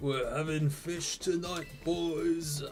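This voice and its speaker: A gruff, put-on character voice at a middle pitch, with clear background noise. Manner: gruff, a poor impression.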